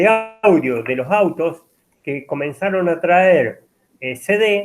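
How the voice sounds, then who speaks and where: A man's lively intonation at a very slow pace. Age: 50s. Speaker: university lecturer. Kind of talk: lecture. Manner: halting, many fillers.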